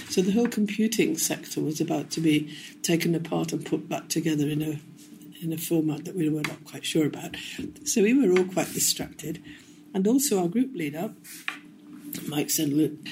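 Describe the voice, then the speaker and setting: Her voice is somewhat breathy, fairly low and dark and mellow in tone, with ordinary pitch variation and long, frequent pauses as the woman speaks. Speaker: retired physicist and manager. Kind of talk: interview.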